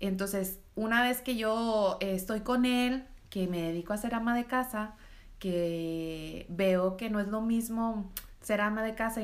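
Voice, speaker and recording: Room echo is audible as a woman speaks at a fairly high pitch with fairly even intonation. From Mexico, Reynosa, Tamaulipas. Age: 30s. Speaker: entrepreneur. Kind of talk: interview.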